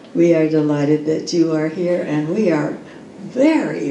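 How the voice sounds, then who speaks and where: A woman talks with a fairly low pitch. Noticeable background noise runs behind her. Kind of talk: event welcome introduction.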